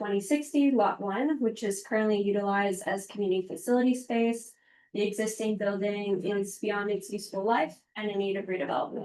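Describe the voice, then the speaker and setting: A woman speaks loudly at a fairly quick pace. Her pitch is medium, with ordinary pitch variation. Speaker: city housing agency official. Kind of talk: public presentation. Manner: soft-spoken; trying to speak loudly.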